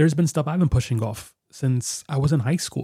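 The man's tone is dark and mellow, somewhat breathy. He talks at a fairly quick pace. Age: 30s. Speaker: podcast host and guitarist. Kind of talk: solo podcast monologue. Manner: casual, conversational with fillers.

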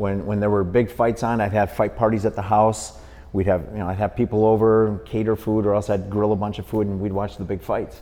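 A man with an American accent talks at a fairly quick pace, his fairly low voice held in a monotone, flat intonation. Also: hardly any pauses. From Milwaukee, Wisconsin. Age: 50s. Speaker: boxing referee. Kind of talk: casual interview.

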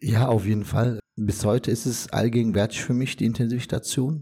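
A man with a fairly low pitch speaks at a moderate pace, his tone dark and mellow and somewhat breathy. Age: 40s. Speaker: former ICU patient. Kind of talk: testimony.

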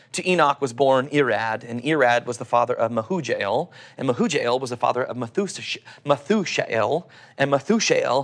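Spoken at a moderate pace, this voice carries an Oklahoma accent. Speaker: pastor. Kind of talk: sermon.

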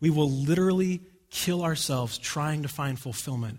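Somewhat breathy and with ordinary pitch variation, a man is heard in a very clean recording with a silent background. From US, rural Oregon. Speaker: pastor. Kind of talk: sermon. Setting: church.

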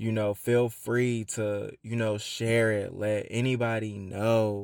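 The recording is very clean, with a silent background. A man with an American accent speaks at a fairly low pitch in a monotone, flat intonation. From Atlanta, US South. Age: 20s. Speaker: podcast host. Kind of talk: casual monologue.

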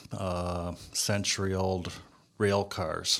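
The recording is very clean, with a silent background. A man with an American accent speaks at a very deep, low pitch in a monotone, flat intonation. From Cleveland, Ohio. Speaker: construction industry consultant. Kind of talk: interview.

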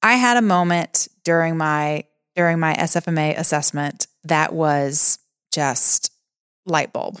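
A woman with a normal speaking voice speaks at a fairly slow pace, with fairly low pitch and ordinary pitch variation, on a very clean recording with a silent background and a dry, close sound with no echo. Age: 30s. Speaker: fitness trainer and gym owner. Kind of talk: casual chat.

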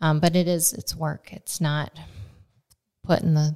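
A woman speaks at a fairly slow pace with a Midwestern American accent. Her pitch is very deep and low, and her tone is dark and mellow. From Nebraska. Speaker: farmer. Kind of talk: casual chat. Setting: on location. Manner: talkative.

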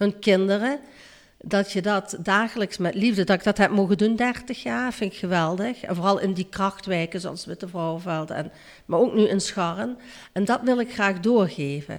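Speaking at a moderate pace and a medium pitch with ordinary pitch variation, a woman with an ordinary speaking voice is heard on a very clean recording with a silent background. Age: 60s. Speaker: childcare worker. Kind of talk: interview.

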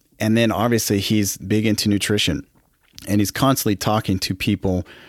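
On a very clean recording with a silent background, a man speaks in a plain, everyday voice at a fairly low pitch with ordinary pitch variation. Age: 40s. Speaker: podcast host. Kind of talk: solo podcast monologue. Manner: casual, conversational.

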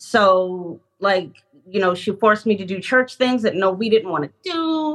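The delivery comes at a fairly slow pace with lively intonation. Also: woman, medium pitch for a woman. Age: 30s. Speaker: counseling client. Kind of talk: counseling session, emotional personal conversation. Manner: nervous, halting.

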